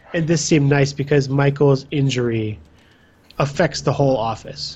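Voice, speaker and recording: A man's fairly high-pitched, somewhat breathy voice at a moderate pace, with monotone, flat intonation. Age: 20s. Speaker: podcast host. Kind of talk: casual chat.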